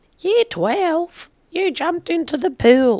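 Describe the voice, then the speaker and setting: Using a put-on character voice, a woman speaks at a fairly slow pace in an extremely high pitch. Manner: gruff, commanding.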